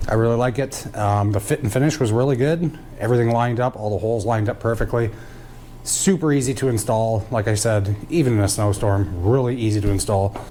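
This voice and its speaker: A man talks at a fairly quick pace with ordinary pitch variation, a medium pitch and very even loudness, in a plain, everyday voice. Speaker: off-road vehicle YouTuber. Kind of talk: product review and install tutorial. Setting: outdoors in a snowstorm. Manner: casual, lots of fillers.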